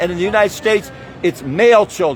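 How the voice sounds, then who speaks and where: Noticeable background noise sits behind a man talking at a fairly quick pace. His pitch is high, with ordinary variation. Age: 70s. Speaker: activist protest leader. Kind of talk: direct-to-camera address at protest. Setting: outdoors at street protest. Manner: halting, many fillers.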